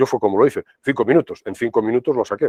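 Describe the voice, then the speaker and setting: A man is speaking. His pace is very fast. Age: 60s. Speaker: professor. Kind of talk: lecture. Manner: conversational, filler-heavy.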